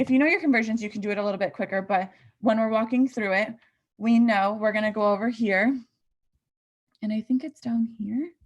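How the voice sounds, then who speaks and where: A somewhat breathy woman with a fairly high pitch and ordinary pitch variation. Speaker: nursing student tutor. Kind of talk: tutorial.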